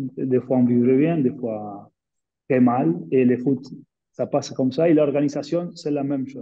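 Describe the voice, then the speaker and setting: With a Spanish accent, a man speaks at a very slow pace in a dark, mellow tone and a fairly high pitch. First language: Spanish (speaking French). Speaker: former professional footballer. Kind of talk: webinar panel discussion. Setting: online webinar. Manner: halting, searching for words.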